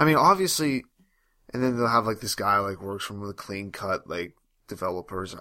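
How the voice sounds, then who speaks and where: A man talks at a fairly quick pace in a bright, sharp tone, his pitch swinging very widely. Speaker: podcast co-host. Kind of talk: casual banter podcast. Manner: joking, self-deprecating.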